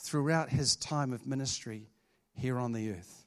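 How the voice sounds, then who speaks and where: A man speaks with a New Zealand accent. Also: quiet background. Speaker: pastor. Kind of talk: sermon.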